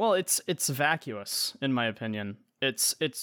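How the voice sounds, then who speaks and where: In a plain, everyday voice, a man speaks at a fairly slow pace and a medium pitch for a man. The recording is very clean, with a silent background. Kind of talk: casual banter chat. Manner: self-deprecating, joking.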